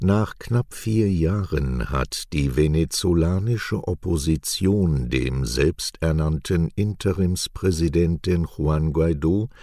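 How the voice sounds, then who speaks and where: Over a silent background in a very clean recording, a man with a very deep, low voice and a dark, mellow tone talks at a very slow pace. His intonation is lively and his loudness stays very even. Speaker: news presenter. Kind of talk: news reading. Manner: clear and measured.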